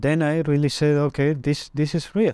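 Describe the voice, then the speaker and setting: A man's voice, dry with no echo, over a quiet background. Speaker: interviewee. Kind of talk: interview answer. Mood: reflective, earnest. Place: studio. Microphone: lapel.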